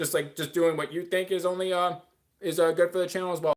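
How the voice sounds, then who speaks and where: A man with a high voice talks very fast in a flat, monotone delivery. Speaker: streamer. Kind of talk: casual livestream chat. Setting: livestream. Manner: filler-heavy, uh pauses.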